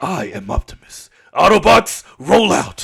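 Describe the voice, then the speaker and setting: Using a raspy, put-on character voice, a man speaks at a fairly slow pace with a fairly high pitch. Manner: heroic, commanding.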